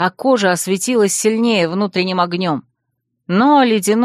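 Over a quiet background comes a natural reading voice with ordinary pitch variation.

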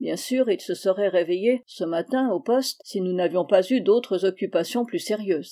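What we hear is plain reading aloud.

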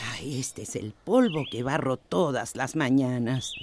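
The put-on character voice has a slightly mellow tone and a fairly slow pace. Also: woman, extremely low pitch for a woman, lively intonation.

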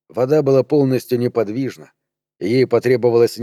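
The background stays quiet. Over it comes a natural reading voice with fairly even intonation.

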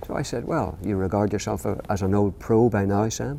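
A man speaks with a Northern Irish accent at a fairly low pitch. His tone is dark and mellow. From Northern Ireland. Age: 60s. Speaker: children's author. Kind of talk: interview. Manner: halting.

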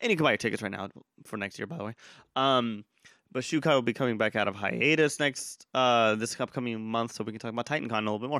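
Recorded very cleanly against a silent background, with a dry, close sound and no echo, a man of medium pitch speaks very fast in a bright, sharp tone with ordinary pitch variation. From Texas, Austin.

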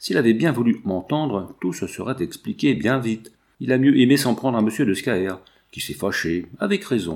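The speaker's intonation is lively, delivered in a natural reading voice.

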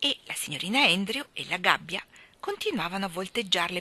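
The speaker reads aloud in a natural voice.

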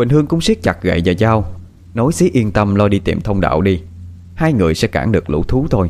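The intonation is lively in this unforced reading voice.

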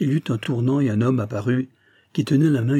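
Someone reads aloud in a natural voice.

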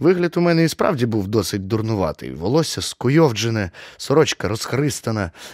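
The voice is a natural reading voice. Its intonation is lively.

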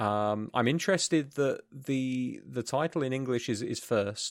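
A man with a British accent at a fairly slow pace, in a very clean recording with a silent background and a dry, close sound with no echo. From UK. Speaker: podcast co-host. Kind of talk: casual chat. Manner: hesitant, many fillers.

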